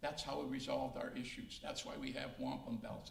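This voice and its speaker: A man talks at a moderate speed, and audible room echo can be heard around his voice. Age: 70s. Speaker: retired judge. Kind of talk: interview.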